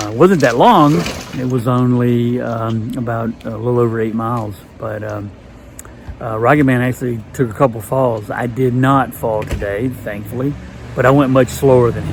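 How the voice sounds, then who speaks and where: Over noticeable background noise and audible room echo, a man at medium pitch talks at a moderate pace. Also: ordinary pitch variation. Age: 60s. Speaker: long-distance hiker vlogger. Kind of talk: casual video diary. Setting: indoors at a hostel. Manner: halting, many fillers.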